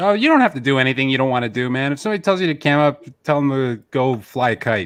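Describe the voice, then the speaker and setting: This man's voice sits at a medium pitch with lively intonation. He talks at a very fast pace. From Canada. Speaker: streamer. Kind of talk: casual chat.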